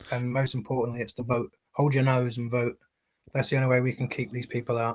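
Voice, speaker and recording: The speaker talks at a very fast pace in a London accent, with monotone, flat intonation. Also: man, medium pitch for a man. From southeast London. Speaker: anti-fascist campaigner. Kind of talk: live-streamed interview.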